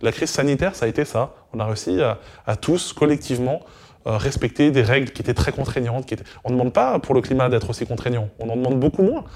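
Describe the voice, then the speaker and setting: A man talks at a very fast pace, medium in pitch with ordinary pitch variation. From Normandy, near Caen (Calvados). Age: 30s. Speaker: citizen assembly member and association co-president. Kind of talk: interview. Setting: recorded at a festival. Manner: hesitant, many fillers.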